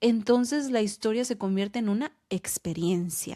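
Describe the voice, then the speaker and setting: Recorded very cleanly with a silent background, a woman speaks fairly slowly at a medium pitch in a dark, mellow tone. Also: dry, close sound with no echo. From Los Angeles, Mexican American. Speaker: podcast host. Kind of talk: podcast narration.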